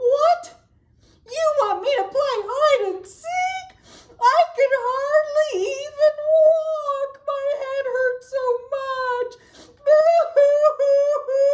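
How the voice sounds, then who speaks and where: The pitch sits extremely high as a woman performs a put-on character voice. Her delivery is very slow. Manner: whiny, crying.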